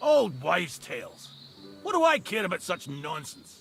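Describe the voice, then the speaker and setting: A man's put-on character voice, gruff and high-pitched, with very wide pitch swings at a moderate pace. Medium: video game. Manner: gruff, impatient, curt.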